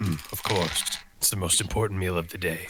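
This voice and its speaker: A man's raspy, put-on character voice, very deep and low, at a fairly quick pace with fairly even intonation. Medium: actual play.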